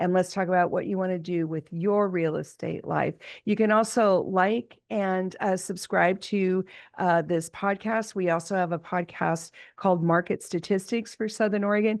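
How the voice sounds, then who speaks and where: Against a quiet background, a woman of medium pitch speaks at a moderate pace with fairly even intonation in an unremarkable speaking voice. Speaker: real estate broker and podcast host. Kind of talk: podcast monologue. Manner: casual with fillers.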